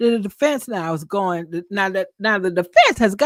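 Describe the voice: The pitch varies in an ordinary way as the speaker does plain reading aloud.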